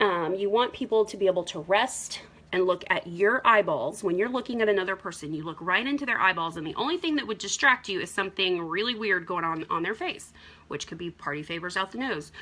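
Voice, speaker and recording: Using an ordinary speaking voice, a woman talks at a fairly quick pace with medium pitch and lively intonation. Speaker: makeup seller. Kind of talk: makeup tutorial livestream. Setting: live video stream at home. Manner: casual with fillers.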